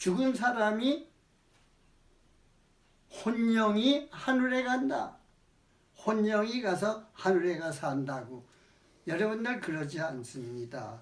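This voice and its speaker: A man's high-pitched voice at a very slow pace, with very wide pitch swings and long, frequent pauses. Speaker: elderly retired pastor giving a sermon. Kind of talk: sermon, religious teaching.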